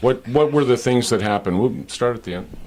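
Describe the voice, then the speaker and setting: A man's medium-pitched voice rises and falls with lively intonation as music plays behind him. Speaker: on-camera host and voice-over talent. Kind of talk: TV news and interview host delivery.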